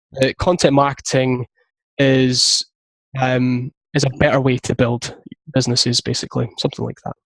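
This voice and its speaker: The man's voice is somewhat breathy and moves at a fairly quick pace. The sound is dry and close, with no echo. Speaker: content marketing business founder. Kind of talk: interview. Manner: fast.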